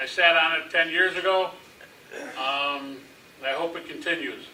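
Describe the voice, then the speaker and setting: A man's high-pitched voice, with fairly even intonation, comes through noticeable background noise. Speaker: city council member and coach. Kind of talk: candidate statement at public forum. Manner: halting, many fillers.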